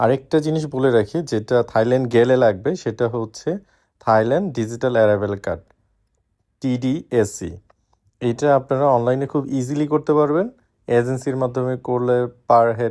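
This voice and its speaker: With a dark, mellow tone and a medium pitch that varies in an ordinary way, a man is heard in a very clean recording with a silent background. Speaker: travel vlogger, father. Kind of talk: travel vlog, tips to viewers.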